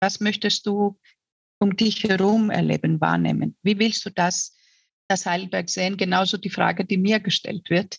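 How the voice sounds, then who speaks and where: A woman's medium-pitched voice with vocal fry, monotone, flat intonation and very even loudness at a fairly slow pace, in a dry, close sound with no echo. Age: 50s. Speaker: mayoral candidate. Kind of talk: interview. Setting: online call.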